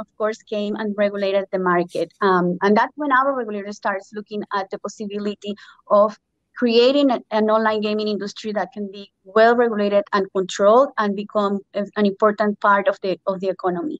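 A plain, everyday voice talks at a fairly quick clip with fairly even intonation, the sound dry with no echo over a quiet background. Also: woman, medium pitch for a woman. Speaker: gaming regulatory director; panelist. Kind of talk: panel discussion. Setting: phone call into video panel. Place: home room. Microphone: phone instead of computer; video call.

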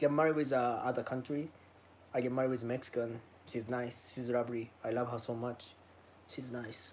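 A man speaks at a moderate pace and a medium pitch. His tone is slightly mellow, with little pitch movement.

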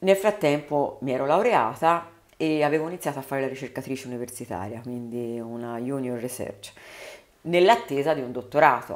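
A moderate pace carries this voice along with lively intonation. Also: woman, very deep, low pitch for a woman. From Tuscany, Prato area (Carmignanello); Tuscany. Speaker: politician, mayoral candidate; politician, candidate. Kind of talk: interview. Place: studio. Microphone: studio mic.

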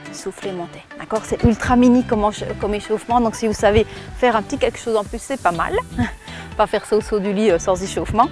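A woman is speaking. The sound is dry with no echo, and faint music plays in the background. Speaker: fitness coach. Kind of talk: tutorial. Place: garden.

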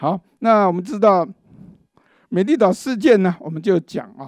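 A man's voice in a dry recording with no echo. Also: quiet background. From Taiwan. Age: 60s. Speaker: law professor and forum host; law professor, forum host. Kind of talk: panel discussion speech. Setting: legislature meeting room. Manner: halting with many fillers. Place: meeting room. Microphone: handheld.

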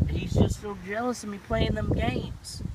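Dry sound with no echo, under loud background noise. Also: man. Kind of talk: acted role-play monologue. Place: car. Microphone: phone near.

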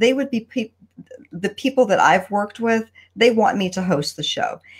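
Somewhat breathy, a woman talks at a moderate pace with very wide pitch swings. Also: quiet background. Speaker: live show host. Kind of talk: casual live-stream interview chat. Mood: warm, upbeat. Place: home room. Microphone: video call.

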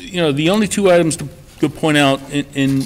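Light background noise behind a man talking. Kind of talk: meeting budget presentation. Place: meeting room. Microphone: podium.

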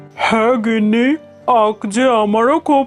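Faint music plays behind a cartoonish character voice pitched fairly high, delivered at a moderate pace. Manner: domineering, threatening.

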